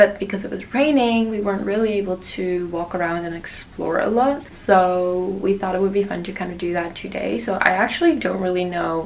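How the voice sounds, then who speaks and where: A woman at a medium pitch with ordinary pitch variation, hardly any pauses, and noticeable background noise. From Netherlands. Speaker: fashion model. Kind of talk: casual vlog talk to camera.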